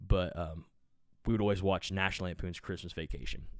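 On a very clean recording with a silent background, a man speaks at a fairly quick pace in a very deep, low voice with fairly even intonation. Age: 30s. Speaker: podcast host and musician. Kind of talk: casual solo podcast monologue. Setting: home podcast recording. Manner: rambling, profane, casual.

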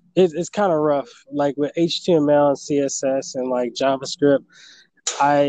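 This man has an unremarkable speaking voice at a medium pitch and moderate pace. The sound is dry and close with no echo. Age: 20s. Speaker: aspiring entrepreneur and YouTuber. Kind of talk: interview.

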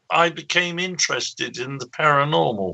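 Lively intonation marks this man's fairly slow delivery in an English accent. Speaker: paranormal researcher. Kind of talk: interview. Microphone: bad connection.

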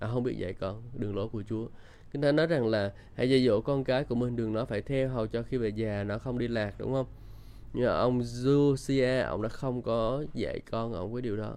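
Man with a medium pitch, dark and mellow tone, and fairly even intonation. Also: moderate pace. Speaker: Bible teacher. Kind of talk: devotional Bible teaching with prayer.

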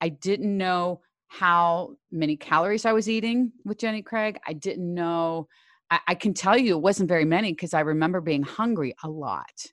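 A woman with a plain, everyday voice speaks at a fairly low pitch with ordinary pitch variation. The sound is dry and close with no echo, and the background is quiet. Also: moderate pace. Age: 60s. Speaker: fitness trainer and former school teacher. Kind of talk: interview.

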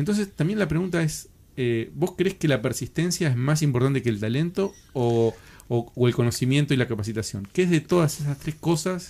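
A man with a fairly high pitch speaks in a dark, mellow tone with lively intonation. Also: moderate pace. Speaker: podcast host and show producer. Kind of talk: interview.

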